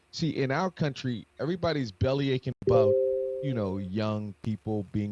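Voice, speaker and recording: With an animated tone and lively intonation, a man speaks at a moderate pace. The sound is dry and close with no echo, though there is noticeable background noise. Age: 60s. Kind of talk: casual chat.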